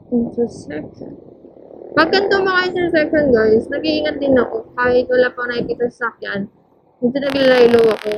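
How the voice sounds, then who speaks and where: Music plays in the background while the speaker goes at a moderate pace. The pitch swings very widely. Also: woman. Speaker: motovlogger. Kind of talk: ride vlog narration. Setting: riding a motorcycle outdoors. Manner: loud today. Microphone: helmet mic wiring, sometimes quiet.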